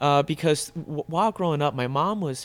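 A man speaks with a fairly high pitch. He has a Mid-Atlantic US accent. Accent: American, US Mid-Atlantic. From Northern Virginia (moved from Vietnam at six). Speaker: chef and restaurant owner. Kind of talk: interview, casual conversation.

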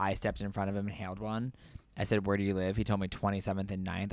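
In a very clean recording with a silent background, a man speaks with a very deep, low pitch. His intonation is monotone and flat. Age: 30s. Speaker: podcast guest. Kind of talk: casual chat.

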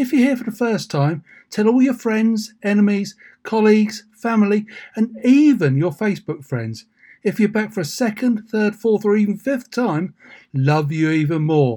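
This man has a dark, mellow tone and high pitch. His intonation is lively and his pace moderate.

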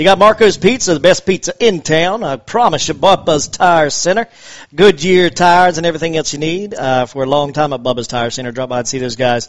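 An ordinary speaking voice, a man's with an American accent, fairly high in pitch, fairly quick, with lively intonation. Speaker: sports radio host. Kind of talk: sports talk radio. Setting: studio.

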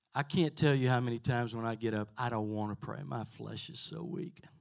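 A normal speaking voice with lively intonation at a moderate pace. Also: man. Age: 60s. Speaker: pastor. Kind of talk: testimony. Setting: church with congregation.

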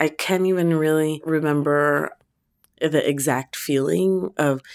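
A woman with an American accent speaks at a fairly slow pace in a very deep, low voice with ordinary pitch variation, recorded very cleanly against a silent background. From US, Filipino American family. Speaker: academic author and mother. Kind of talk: interview testimony.

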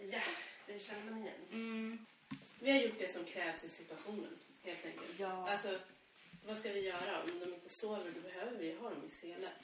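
A woman at medium pitch and a moderate pace, with ordinary pitch variation, audible room echo and noticeable background noise. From Sweden, Stockholm area (Nacka). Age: 30s. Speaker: podcast co-host, parent. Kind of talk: casual chat.

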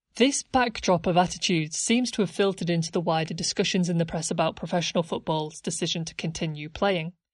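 A woman's somewhat breathy, fairly low voice with ordinary pitch variation, very fast and with hardly any pauses, over a quiet background. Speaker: podcast narrator. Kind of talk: history documentary narration. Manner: measured, formal, scripted-sounding delivery; clear, explanatory, authoritative.

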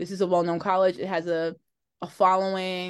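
An ordinary speaking voice from a woman with an American accent, medium in pitch, at a moderate pace against a quiet background. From New Jersey, Linden. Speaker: singer-songwriter. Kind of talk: casual interview.

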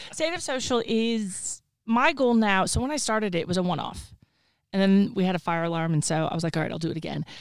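A woman with a Texan accent talks at a very fast pace with lively intonation and a medium pitch. The recording is very clean, with a silent background. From Texas. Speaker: social media consultant. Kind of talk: casual interview. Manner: confident, opinionated.

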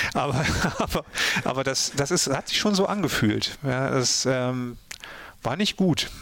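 A man's medium-pitched voice at a fairly slow pace, with lively intonation, very even loudness, long, frequent pauses, and noticeable background noise. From Ruhr area, Germany (Mülheim an der Ruhr). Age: 50s. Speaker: author and radio drama director. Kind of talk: casual interview.

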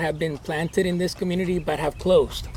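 Pitched high, a man delivers his words with monotone, flat intonation. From Guatemala, moved to US at 10. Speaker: pastor and church planter. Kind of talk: interview. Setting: outdoors at a horse ranch.

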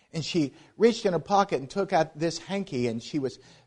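A man speaks with an American accent in an ordinary speaking voice, at a moderate pace. His intonation is lively, and the background is quiet. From US, Pittsburgh, Pennsylvania. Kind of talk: missions presentation at a church.

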